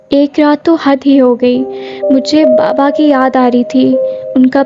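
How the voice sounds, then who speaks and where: A woman speaks with a high pitch. Music plays in the background. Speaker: horror story narrator. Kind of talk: horror story narration.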